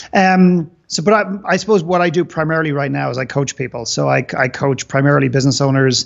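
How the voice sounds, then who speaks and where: The background is quiet. Against it, a man talks at a fairly quick pace. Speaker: podcast guest, business coach. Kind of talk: interview answer. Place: home room. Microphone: video call.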